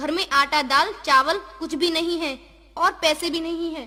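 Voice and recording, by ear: Putting on a character voice, a woman speaks extremely high with a bright, sharp tone, fairly even intonation and a fairly slow pace.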